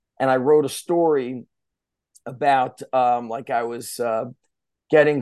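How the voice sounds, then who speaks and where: In a plain, everyday voice, a man with an American accent speaks fairly slowly at medium pitch with fairly even intonation against a quiet background. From US Northeast, Central New Jersey. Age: 40s. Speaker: strength coach. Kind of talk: casual interview chat. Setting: podcast recording.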